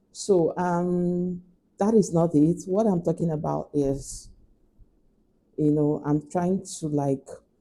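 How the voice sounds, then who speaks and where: Speaking very slowly with a Nigerian accent, a woman keeps a fairly even intonation in a fairly low voice. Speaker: lifestyle vlogger. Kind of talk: casual chat.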